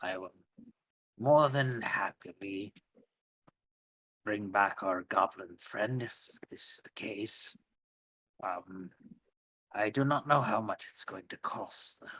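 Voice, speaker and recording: A man uses a put-on, raspy character voice at a fairly low pitch, talking at a fairly slow pace with long, frequent pauses. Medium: actual play. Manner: formal, polite.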